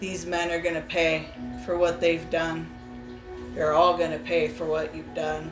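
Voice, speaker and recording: A loud, booming put-on character voice moves at a moderate pace over clear music in the background. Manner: menacing, vengeful.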